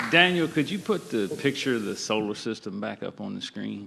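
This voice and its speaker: Speaking in a Virginia accent at a medium pitch, a man keeps a moderate pace and lively intonation amid noticeable background noise. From Virginia, US South. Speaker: farmer. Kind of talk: panel discussion.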